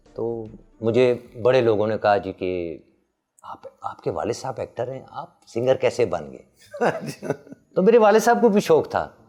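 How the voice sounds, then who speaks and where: A man's voice with big swings in loudness and music in the background. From Peshawar, Pakistan. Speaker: singer. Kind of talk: interview answer.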